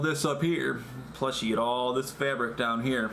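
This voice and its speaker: A man talks with fairly even intonation amid noticeable background noise and audible room echo. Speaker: vlogger. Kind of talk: casual vlog monologue. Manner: halting, self-correcting; loud when wearing face shield. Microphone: echoey through face shield.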